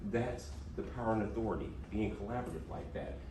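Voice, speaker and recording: A man with an American accent swings his fairly low pitch very widely, with noticeable background noise and audible room echo. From US South, Mississippi. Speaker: diversity trainer. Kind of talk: workshop presentation. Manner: animated.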